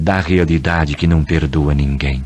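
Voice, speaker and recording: Solemn in tone, a man speaks at a fairly slow pace. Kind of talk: dramatic radio essay, poetic narration. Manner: solemn, measured.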